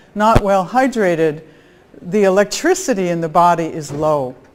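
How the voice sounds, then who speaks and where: On a very clean recording with a silent background, a woman with an unremarkable speaking voice talks at a moderate pace, with medium pitch and lively intonation. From US Midwest, Chicago area. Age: 60s. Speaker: biophysicist, conference speaker. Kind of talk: conference talk.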